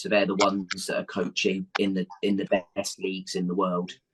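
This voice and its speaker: A man's fairly low, monotone, flat delivery in an English accent at a moderate pace, with a dry, close sound and no echo. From England. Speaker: football coach. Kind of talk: interview answer. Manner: hesitant, conversational.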